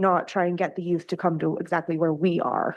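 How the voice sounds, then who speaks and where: A woman with a Canadian accent against a quiet background. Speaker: youth program supervisor. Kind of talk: presentation to council. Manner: loud.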